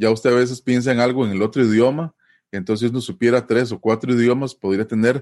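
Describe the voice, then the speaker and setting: In a quiet background, a man with a Costa Rican accent talks at a medium pitch. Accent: Costa Rican Spanish, dragged R. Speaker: language teacher. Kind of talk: interview. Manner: hesitant, many fillers.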